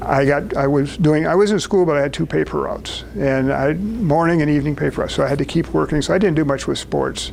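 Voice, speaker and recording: A man talks at a fairly quick pace in an American accent, his pitch fairly high with ordinary variation. Noticeable background noise is present. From US Midwest (southern Wisconsin). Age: 80s+. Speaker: speaker at a business networking event. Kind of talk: personal talk to a small group.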